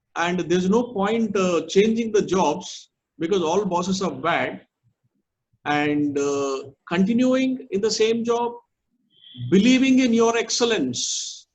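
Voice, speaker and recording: A man with a high pitch and lively intonation speaks at a very slow pace with long, frequent pauses, and audible room echo surrounds his voice. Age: 60s. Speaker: management speaker. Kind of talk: lecture.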